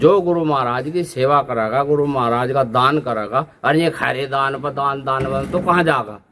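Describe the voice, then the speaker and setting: A man with an unremarkable speaking voice talks with lively intonation. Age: 50s. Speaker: religious leader. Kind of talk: interview.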